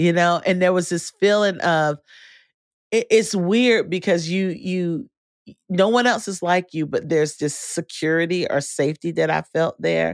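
At a moderate pace and with an American accent, the voice is captured in a very clean recording over a silent background. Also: woman, fairly low pitch for a woman, ordinary pitch variation, dry, close sound with no echo. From North Carolina. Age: 40s. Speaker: podcast host, organization founder. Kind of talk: casual interview. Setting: studio. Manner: animated.

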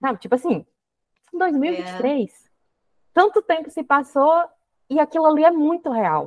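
A high-pitched woman at a fairly slow pace, very wide pitch swings, long and frequent pauses, dry close sound with no echo. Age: 30s. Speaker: podcast host. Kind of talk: casual chat.

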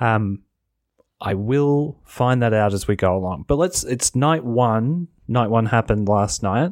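An ordinary speaking voice from a man, medium in pitch, fairly slow, with lively intonation and very even loudness, in a very clean recording with a silent background and a dry, close sound with no echo. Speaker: wrestling podcast host. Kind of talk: casual solo recap and review of wrestling shows. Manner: casual, chatty, conversational.

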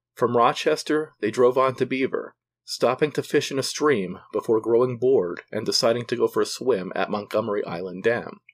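Using a normal speaking voice, a man talks at a medium pitch and a moderate pace. He leaves hardly any pauses. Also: ordinary pitch variation. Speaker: podcast narrator. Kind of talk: true-crime narration, scripted. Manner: measured, solemn storytelling.

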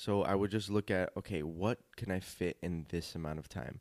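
With an American accent and a cheerful tone, a man talks in a very deep, low pitch with ordinary pitch variation, recorded dry and close with no echo. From Los Angeles, California. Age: 20s. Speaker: dancer and actor. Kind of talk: interview. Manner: cheerful, laughs often.

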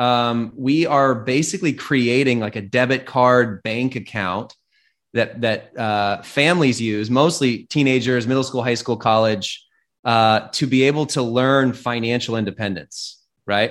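Over a silent background in a very clean recording, a man talks fairly slowly in an ordinary speaking voice at medium pitch with ordinary pitch variation. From US Pacific Northwest, Seattle. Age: 30s. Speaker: tech entrepreneur. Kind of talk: interview conversation.

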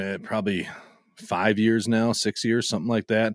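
A man's normal speaking voice at a medium pitch and a moderate pace. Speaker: podcaster. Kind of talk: casual chat.

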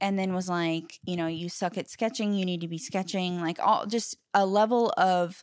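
A woman speaks at a medium pitch and a moderate pace with fairly even intonation. She leaves hardly any pauses. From Oregon, US (Lake Oswego near Portland). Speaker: footwear and industrial designer. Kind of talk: casual interview chat.

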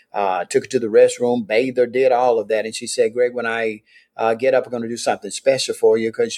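A man with a Mississippi accent at a fairly quick pace, in a dry, close sound with no echo. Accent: Mississippi Southern US. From US South, Meridian, Mississippi. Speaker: pastor. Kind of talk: interview, life story.

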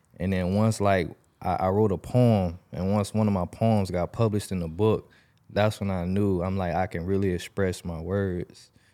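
A man's dark, mellow tone at a fairly low pitch, flat and monotone in intonation, at a moderate pace, on a very clean recording with a silent background. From Jacksonville, Florida (Southside, Arlington). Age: 20s. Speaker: rapper. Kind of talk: casual chat.

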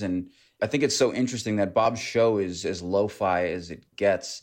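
Man with an ordinary speaking voice, fairly low pitch, ordinary pitch variation, and moderate pace. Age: 30s. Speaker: documentary director. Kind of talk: interview.

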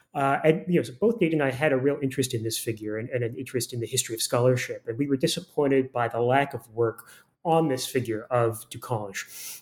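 A man speaks at a very fast pace with an American accent and ordinary pitch variation. The recording is very clean, with a silent background. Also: medium pitch for a man. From Florida. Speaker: historian. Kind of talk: academic interview.

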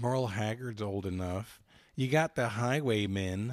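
Speaking at a fairly slow pace, a man has a normal speaking voice. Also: very clean recording, silent background. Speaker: podcast host and trivia contestant. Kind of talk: casual banter in a trivia game. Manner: joking, playful.

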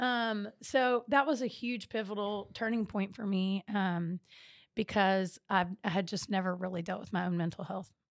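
A woman speaks in an American accent at a moderate pace with ordinary pitch variation. The recording is very clean, with a silent background. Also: medium pitch for a woman. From central Texas (Temple, Austin). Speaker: social entrepreneur. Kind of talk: casual chat. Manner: animated.

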